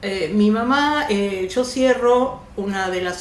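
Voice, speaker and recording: A woman at medium pitch with ordinary pitch variation, in audible room echo with noticeable background noise. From Argentina, raised from age two. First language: Yiddish (speaking Spanish). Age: 70s. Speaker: actress and oral storyteller. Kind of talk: interview, personal life story.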